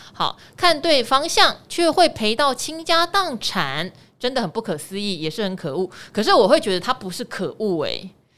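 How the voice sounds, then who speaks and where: On a very clean recording with a silent background, a woman with a fairly high, bright, sharp tone and vocal fry speaks at a moderate pace, her pitch making very wide swings. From Taiwan, Pingtung. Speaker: finance podcast host. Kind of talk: casual chat.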